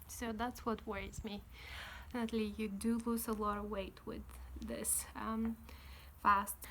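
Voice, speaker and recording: With a Bulgarian accent, a woman talks at a fairly slow pace, leaving long, frequent pauses. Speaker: vlogger. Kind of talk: casual vlog.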